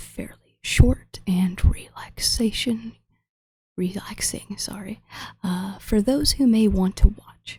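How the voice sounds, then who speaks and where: A woman is speaking. Her pace is very slow. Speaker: ASMR artist drawing. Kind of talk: ASMR drawing chat. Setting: military barracks room at desk. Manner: soft-spoken, not whispering.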